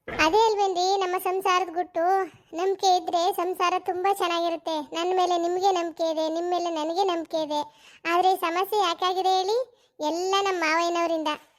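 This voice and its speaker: A cartoonish character voice speaks at a fairly slow pace with monotone, flat intonation. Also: woman, extremely high pitch for a woman. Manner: bold, quick-tempered, sharp-tongued.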